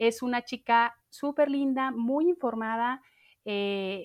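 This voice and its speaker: The recording is very clean and the background silent. It carries a plain, everyday voice with ordinary pitch variation. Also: woman. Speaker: podcast host. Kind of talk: casual chat.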